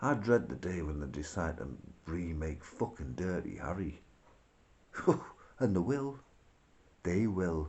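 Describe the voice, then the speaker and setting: Vocal fry runs through a fairly slow delivery with very wide pitch swings. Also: man. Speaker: video blogger. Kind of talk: casual rant. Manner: rambling, informal.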